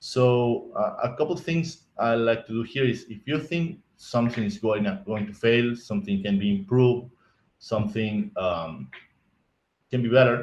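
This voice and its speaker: At a moderate pace, a man speaks with lively intonation and a medium pitch. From Argentina. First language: Spanish. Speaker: IT architect, conference speaker. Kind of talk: conference talk. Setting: virtual conference stream. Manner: halting, many repetitions and restarts.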